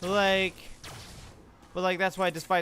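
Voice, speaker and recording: A man speaks in a bright, sharp tone. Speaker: gaming streamer. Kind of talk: casual chat.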